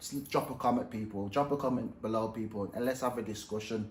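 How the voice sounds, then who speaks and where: Over audible room echo, a man mumbles his words. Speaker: professional boxer and YouTuber. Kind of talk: casual vlog commentary. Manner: animated; mumbling.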